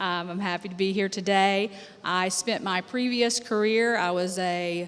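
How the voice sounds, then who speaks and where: In an American accent, a woman with a plain, everyday voice and a medium pitch speaks at a fairly slow pace with fairly even intonation. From USA. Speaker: healthcare attorney. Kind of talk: conference panel introduction.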